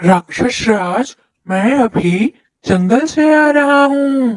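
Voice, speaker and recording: This is a cartoonish character voice at a fairly high pitch. It moves at a very slow pace. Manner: fawning, eager.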